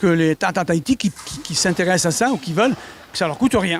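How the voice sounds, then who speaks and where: The man's voice sits high. His pitch moves in an ordinary way. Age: 70s. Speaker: sports federation president and fencing coach. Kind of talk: interview.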